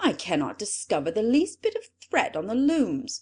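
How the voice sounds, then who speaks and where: In a put-on character voice, a woman speaks at a high pitch with very wide pitch swings against a quiet background. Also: moderate pace. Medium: read story.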